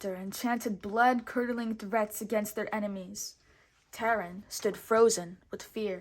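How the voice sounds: Someone reads in a natural reading voice.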